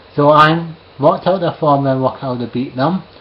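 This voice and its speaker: Noticeable background noise accompanies a man with a Scottish accent and a fairly high pitch. He keeps a moderate pace with ordinary pitch variation. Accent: Scottish, slightly toned down. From Scotland, Edinburgh. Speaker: live streamer. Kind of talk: casual monologue to camera. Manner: hesitant, with fillers.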